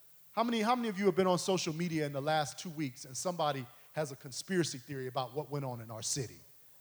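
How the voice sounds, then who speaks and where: Talking very fast with an American accent, a man uses a fairly high, somewhat breathy voice with lively intonation. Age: 40s. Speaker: preacher. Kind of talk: sermon. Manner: animated.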